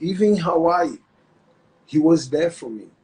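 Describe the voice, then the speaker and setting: A man's high voice with a Brazilian accent at a fairly slow pace. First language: Portuguese. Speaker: retired MMA fighter and jiu-jitsu instructor. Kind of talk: interview. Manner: halting.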